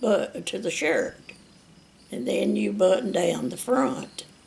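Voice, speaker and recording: A woman speaks at a very slow pace. Her voice carries vocal fry. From US South. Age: 80s+. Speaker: retired factory worker. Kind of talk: oral history interview. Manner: halting.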